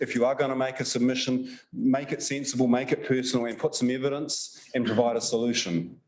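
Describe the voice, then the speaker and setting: A man talks in a medium pitch with a New Zealand accent. The room echo is audible around him. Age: 60s. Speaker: science policy advisor. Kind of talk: conference Q&A answer. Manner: hesitant, repeats words.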